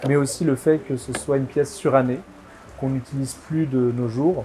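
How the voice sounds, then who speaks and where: Against noticeable background noise, a man speaks at a fairly slow pace in a medium pitch with fairly even intonation. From southwest France (Bergerac / Bordeaux area). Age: 20s. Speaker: antiques dealer. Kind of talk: interview testimony. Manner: hesitant, many fillers.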